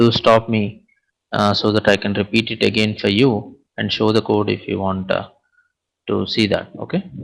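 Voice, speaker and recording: The voice carries vocal fry and a monotone, flat intonation. It moves at a moderate pace. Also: man, fairly low pitch for a man. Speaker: programming instructor. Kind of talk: lecture.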